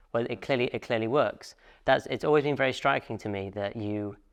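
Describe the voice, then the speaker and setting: A man's ordinary speaking voice, fairly low-pitched and fairly quick, against a quiet background. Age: young. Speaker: podcast host. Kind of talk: casual interview chat.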